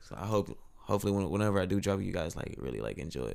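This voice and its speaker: A man's voice at a fairly low pitch. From northern Louisiana (Monroe). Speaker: musician and artist. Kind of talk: casual chat.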